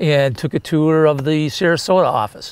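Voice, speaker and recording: A man with a normal speaking voice talks at a moderate pace and a fairly high pitch. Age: 60s. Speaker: mortgage company president. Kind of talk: interview answer.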